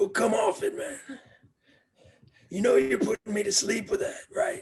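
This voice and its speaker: A man puts on a raspy character voice. He moves at a moderate pace. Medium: stage play. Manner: gruff, dismissive.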